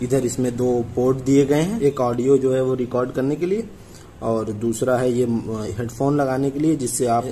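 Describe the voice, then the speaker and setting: A man at a fairly slow pace, with ordinary pitch variation and light background noise. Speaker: product reviewer. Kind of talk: unboxing product review. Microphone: phone near.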